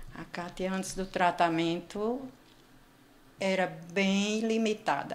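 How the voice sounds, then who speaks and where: A woman's medium-pitched voice at a very slow pace, with long, frequent pauses and fairly even intonation. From Brazil, Northeast (João Pessoa, Paraíba). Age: 60s. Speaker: patient sharing weight-loss story. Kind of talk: interview testimony.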